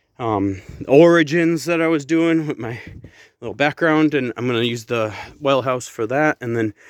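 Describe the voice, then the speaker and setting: A man with a normal speaking voice at a moderate pace, on a very clean recording with a silent background. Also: medium pitch for a man, ordinary pitch variation. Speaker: home renovation vlogger. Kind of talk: casual vlog update.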